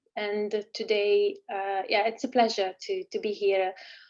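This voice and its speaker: A woman's fairly high voice in an Italian accent. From Italy. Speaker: engineering professor. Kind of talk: online lecture. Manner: hesitant with fillers.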